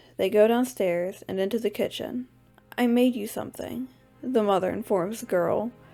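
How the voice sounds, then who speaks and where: A woman talks at a moderate speed while music runs in the background. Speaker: amateur story reader. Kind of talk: audiobook story reading. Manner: slight lisp.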